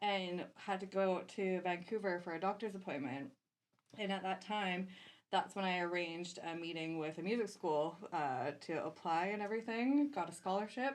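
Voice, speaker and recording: An ordinary speaking voice with a Canadian accent and ordinary pitch variation. The pace is moderate and the background quiet. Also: woman, medium pitch for a woman. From Canada. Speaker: DJ and music producer. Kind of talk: casual podcast interview.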